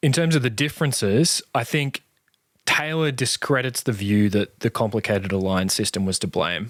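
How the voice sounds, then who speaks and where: A man speaks at a moderate pace with a plain, everyday voice, medium in pitch, with lively intonation and a dry, close sound with no echo. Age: younger than guest. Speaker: podcast interviewer. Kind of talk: interview conversation.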